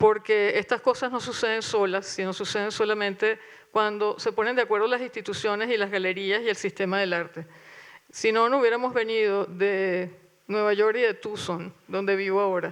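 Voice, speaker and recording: Over a quiet background, a woman talks in a normal speaking voice at a moderate pace, her pitch fairly high and her intonation fairly even. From Venezuela. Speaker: curator. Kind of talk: panel talk with reading aloud. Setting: auditorium with audience.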